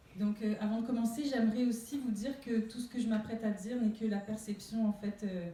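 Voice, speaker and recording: A woman's fairly high voice, fairly even in intonation, over noticeable background noise. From Réunion. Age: 30s. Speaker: conference speaker. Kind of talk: public talk. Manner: hesitant, many fillers.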